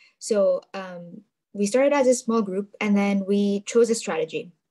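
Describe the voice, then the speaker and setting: Speaking at a moderate pace, a woman has a fairly high pitch, a dark, mellow tone, and ordinary pitch variation. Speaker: youth ambassador. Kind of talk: webinar talk. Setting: video call.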